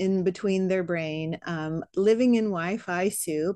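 Over a quiet background, a woman uses a plain, everyday voice at medium pitch with fairly even intonation. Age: 40s. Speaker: fitness podcast host. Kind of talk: podcast interview.

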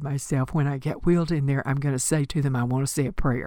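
This woman's pitch is very deep and low. The background is silent and the recording very clean. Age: 80s+. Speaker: spiritual teacher. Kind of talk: reflective spiritual monologue. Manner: slow, halting.

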